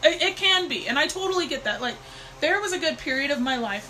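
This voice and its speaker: Over noticeable background noise, a woman talks at a very fast pace in a raised, projected voice. Her intonation is lively. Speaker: intuitive divination mentor. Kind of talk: live stream talk. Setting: live stream on new computer.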